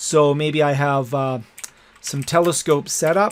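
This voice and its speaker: A man speaks at a moderate pace in a fairly high pitch, with fairly even intonation. He has a normal speaking voice. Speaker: educational technology instructor. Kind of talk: tutorial.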